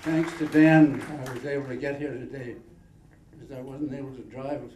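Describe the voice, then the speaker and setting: The voice is monotone and flat with big swings in loudness, heard with audible room echo and noticeable background noise. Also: man, fairly high pitch for a man, moderate pace. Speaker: award recipient, long-term diabetes patient. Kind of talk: acceptance speech.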